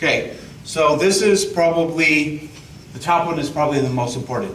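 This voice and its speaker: A loud man's voice, high in pitch, with ordinary pitch variation at a moderate pace, plus audible room echo and noticeable background noise. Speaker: state tax outreach officer. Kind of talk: presentation to an audience.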